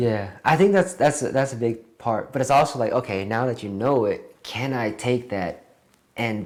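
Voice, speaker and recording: Mumbling with lively intonation, a man is heard in a very clean recording with a silent background. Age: 20s. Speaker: actor. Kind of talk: interview. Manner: fast.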